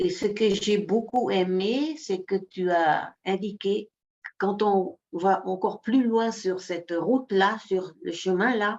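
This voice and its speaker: With a Dutch accent, a woman speaks at a very slow pace. Her pitch is medium with ordinary variation. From Netherlands. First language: Dutch (speaking French). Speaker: workshop participant. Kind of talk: sharing in an online group session. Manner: halting, many repetitions.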